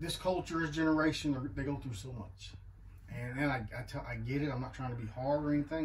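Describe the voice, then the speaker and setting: Against light background noise, a man talks at a very fast pace. His voice is somewhat breathy, with ordinary pitch variation. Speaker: guest. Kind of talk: personal testimony talk. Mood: earnest, reflective. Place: bus. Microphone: camera far.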